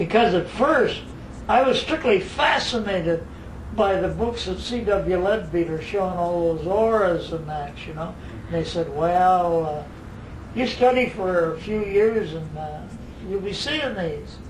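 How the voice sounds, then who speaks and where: A man talks at a fairly slow pace in a high pitch with ordinary pitch variation. Noticeable background noise and audible room echo are present. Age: 80s+. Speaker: spiritual teacher. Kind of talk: casual interview at home. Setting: private home.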